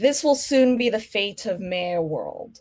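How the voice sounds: A woman uses a put-on, wheezy character voice. She talks fairly slowly at a fairly high pitch.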